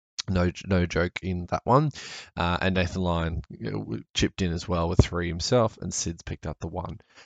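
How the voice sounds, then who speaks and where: Vocal fry at a moderate pace, with ordinary pitch variation. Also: man, very deep, low pitch for a man. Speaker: sports podcast host. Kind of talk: casual solo cricket commentary. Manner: casual, hesitant with fillers.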